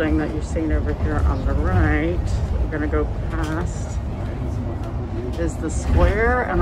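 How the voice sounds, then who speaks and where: A fairly slow pace over loud background noise. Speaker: travel vlogger. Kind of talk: casual tour commentary. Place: bus. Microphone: phone near.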